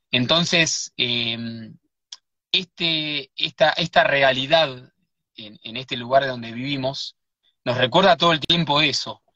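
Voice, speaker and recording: A man's fairly high voice, big swings in loudness, a very slow pace and ordinary pitch variation. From Buenos Aires, Argentina. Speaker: writer and researcher. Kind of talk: live interview. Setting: in a car.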